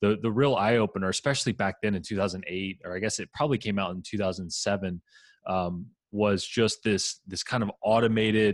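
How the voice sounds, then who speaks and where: The delivery is fairly quick, with fairly even intonation. The sound is dry and close, with no echo. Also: man, fairly low pitch for a man, quiet background. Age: 30s. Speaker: piano teacher and online entrepreneur. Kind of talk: casual interview. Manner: halting, with many fillers and repeats.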